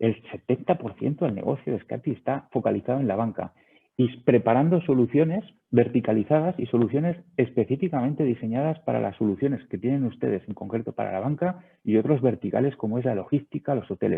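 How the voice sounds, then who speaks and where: A man talks at a fairly quick pace in a medium pitch. His intonation is lively. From Spain. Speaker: sales director of a video surveillance company. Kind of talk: webinar presentation. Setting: online webinar.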